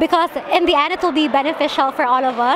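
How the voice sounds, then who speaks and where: A woman speaks in a high voice with ordinary pitch variation. Noticeable background noise runs underneath. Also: dry sound with no echo. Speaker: interviewee. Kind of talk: interview answer. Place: street. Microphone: handheld.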